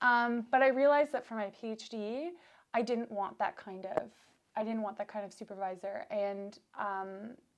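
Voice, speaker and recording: A woman with a Canadian accent, fairly high in pitch, at a moderate pace with ordinary pitch variation. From Canada. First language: Russian. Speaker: PhD student. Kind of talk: casual interview.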